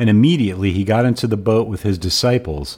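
A man's fairly low voice, warm in tone, dark and mellow, at a moderate pace. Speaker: podcast host and cigar smoker. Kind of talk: scripture reading with commentary; casual podcast monologue. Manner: measured, even, reverent reading pace; warm, conversational, friendly.

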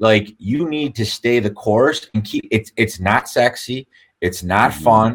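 In an ordinary speaking voice, a man talks at a fairly slow pace. His medium pitch shows ordinary pitch variation. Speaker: real estate brokerage owner. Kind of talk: casual interview.

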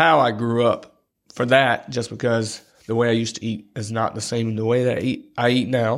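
A man with a North Carolina accent speaks at a medium pitch on a very clean recording with a silent background. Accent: Southern US (North Carolina). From US South, Robeson County, North Carolina. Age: 30s. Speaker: podcast co-host, gym marketing assistant. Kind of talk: casual chat.

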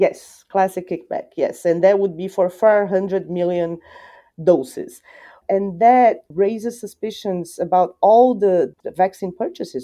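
A woman with a Portuguese accent speaks at a fairly slow pace, her medium-pitched voice showing ordinary pitch variation against a quiet background. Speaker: journalist and columnist. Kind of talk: interview discussion.

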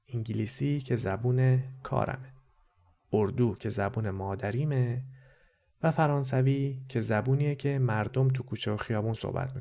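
A man's dark, mellow, somewhat breathy voice holds a medium pitch and fairly even intonation at a moderate pace. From Iran, Tehran. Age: 30s. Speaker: podcast host and narrator. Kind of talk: scripted narration.

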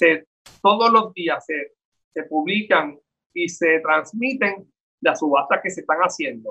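This man has a high pitch, a bright, sharp tone and very wide pitch swings. His raised, projected voice moves at a fairly slow pace. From Puerto Rico. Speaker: town mayor. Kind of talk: interview.

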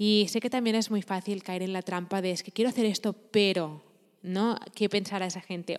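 The speaker uses a plain, everyday voice at a moderate pace with fairly even intonation. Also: woman. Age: 20s. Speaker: podcaster and entrepreneurship coach. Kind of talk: motivational monologue.

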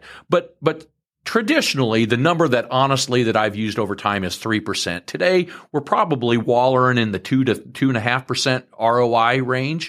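Recorded very cleanly with a silent background, a man with a plain, everyday voice speaks at a moderate pace and a medium pitch. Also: ordinary pitch variation. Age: 50s. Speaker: farmland broker and farm manager. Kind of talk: interview.

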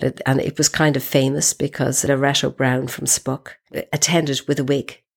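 Her pitch is very deep and low. The woman speaks with an Irish accent. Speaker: feminist activist. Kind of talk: interview. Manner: halting, repeats words.

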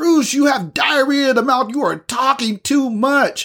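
High-pitched put-on character voice at a moderate pace. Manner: exasperated.

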